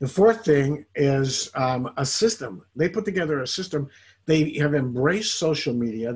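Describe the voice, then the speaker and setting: Somewhat breathy and animated in tone, a man speaks at a fairly high pitch. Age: 60s. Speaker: network marketing distributor. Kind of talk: interview testimony.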